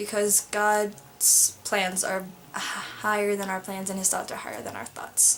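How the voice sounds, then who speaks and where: Amid noticeable background noise, a woman mumbles at a moderate pace and a medium pitch. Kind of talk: casual talk to camera. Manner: mumbling.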